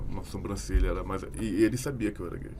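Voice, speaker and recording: With audible room echo around him, a man talks at a very fast pace. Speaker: podcast guest. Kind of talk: casual podcast discussion.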